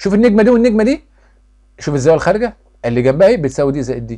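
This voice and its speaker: A man with an Egyptian accent speaks with lively intonation. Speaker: math teacher. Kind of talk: tutorial. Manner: loud; fast.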